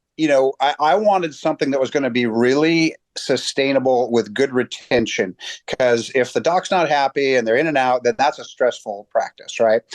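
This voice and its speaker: A man with an unremarkable speaking voice talks at a fairly high pitch and a moderate pace with very even loudness, in a dry, close sound with no echo and a quiet background. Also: ordinary pitch variation. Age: 50s. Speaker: chiropractor. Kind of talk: interview. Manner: casual, with many repeated words.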